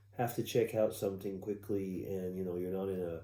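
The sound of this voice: Audible room echo surrounds a man speaking at a fairly quick pace in a fairly low voice with a dark, mellow tone.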